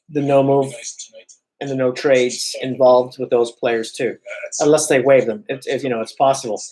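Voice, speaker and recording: A man with a fairly high pitch talks over music in the background. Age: 40s. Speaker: hockey YouTuber. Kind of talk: live-stream reaction commentary. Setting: live stream. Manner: casual, filler-heavy.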